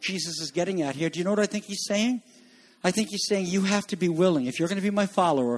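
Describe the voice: Ordinary pitch variation in plain reading aloud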